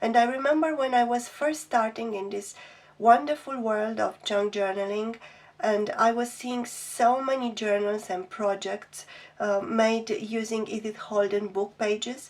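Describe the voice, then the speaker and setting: A woman with a non-native accent, fairly high in pitch, at a fairly slow pace with ordinary pitch variation. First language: not English. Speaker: craft youtuber. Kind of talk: product flip-through review. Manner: hesitant, many ums.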